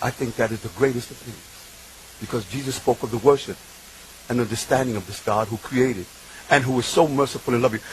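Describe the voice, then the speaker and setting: A man's animated, medium-pitched voice against noticeable background noise. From New York City, Bronx (Puerto Rican). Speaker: convert speaker. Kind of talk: testimony. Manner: emphatic, animated.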